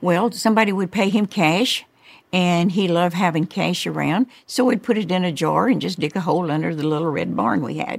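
Speaking at a fairly quick pace, a woman with a fairly low pitch uses ordinary pitch variation and some vocal fry. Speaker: interviewee, Don Lewis's ex-wife. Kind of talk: recalling interview.

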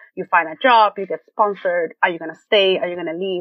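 A woman with a Spanish accent speaks at a fairly quick pace in a medium pitch, her pitch varying in an ordinary way. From Venezuela. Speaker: web designer. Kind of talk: interview.

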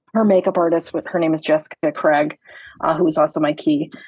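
An American-accented woman has an unremarkable speaking voice, fairly low in pitch, with ordinary pitch variation. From US Midwest (Michigan). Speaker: makeup artist. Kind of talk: casual interview chat.

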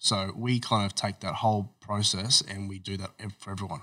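A man with an Australian accent, fairly low-pitched, flat and monotone, at a fairly quick pace, with a bright, sharp tone in a very clean recording against a silent background. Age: 30s. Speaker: entrepreneur. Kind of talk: interview.

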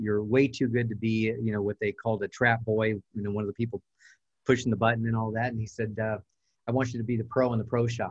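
A man with an American accent talks at a fairly quick pace in a somewhat breathy voice at a medium pitch. His intonation is monotone and flat, and the sound is dry and close with no echo. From Southern California. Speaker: real estate coach and trainer. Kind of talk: interview.

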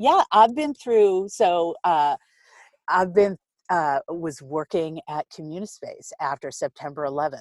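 With an American accent, a woman speaks in a normal speaking voice, fairly low in pitch and lively in intonation, with a dry, close sound and no echo. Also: very clean recording, silent background. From Boston, Massachusetts. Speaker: nonprofit accelerator CEO. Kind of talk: interview.

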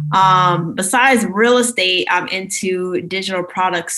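A woman with an American accent speaks in a plain, everyday voice at a medium pitch, fairly slowly and with fairly even intonation. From Maryland, US. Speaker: realtor and personal finance influencer. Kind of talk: podcast interview.

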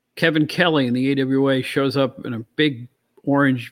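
Fairly even intonation in a man's fairly high voice. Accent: New York. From New York. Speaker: co-host, former wrestling magazine editor. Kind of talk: casual chat.

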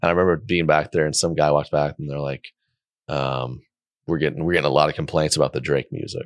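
Speaking very fast with an American accent, a man has a very deep, low pitch, vocal fry and fairly even intonation, in a dry, close sound with no echo. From Oklahoma. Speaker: comedian. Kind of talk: casual chat.

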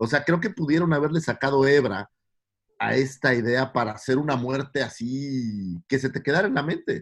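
The man's medium-pitched voice keeps a moderate tempo, with typical rise and fall. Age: 40s. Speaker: podcast co-host. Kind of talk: casual chat.

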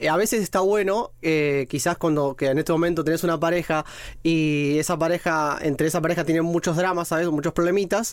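This man has a high pitch, fairly even intonation and very even loudness, and he talks at a fairly quick pace. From Argentina, Mar del Plata; partly raised in Rome. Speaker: podcast guest, single man. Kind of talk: casual chat.

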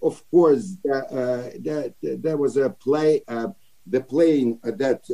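A man speaks at a very slow pace. His tone is dark and mellow, with ordinary pitch variation. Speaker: actor. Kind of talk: interview. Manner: halting.

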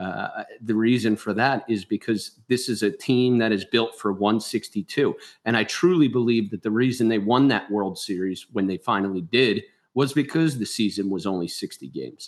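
Against a quiet background, a man talks with a Philadelphia accent. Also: medium pitch for a man, ordinary pitch variation, moderate pace. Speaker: baseball analyst and author. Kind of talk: sports analysis interview.

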